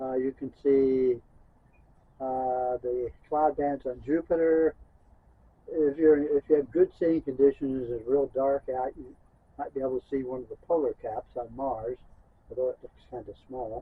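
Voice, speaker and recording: A man at a medium pitch talks in a monotone, flat intonation, with big swings in loudness. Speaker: amateur astronomer. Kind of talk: product review talk to camera. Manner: hesitant, many fillers.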